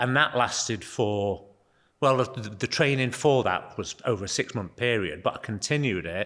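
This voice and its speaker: In a Manchester accent, a man speaks at a medium pitch with ordinary pitch variation. His moderate pace comes through a very clean recording with a silent background. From northern England, Altrincham/Sale area. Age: 60s. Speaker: gym member. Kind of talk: casual interview.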